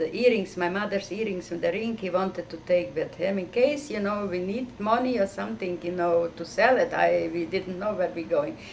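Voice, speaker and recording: A medium-pitched woman at a moderate pace, with ordinary pitch variation over noticeable background noise. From Carpathian Ruthenia, Czechoslovakia (now Ukraine). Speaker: Holocaust survivor. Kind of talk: testimony. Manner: halting.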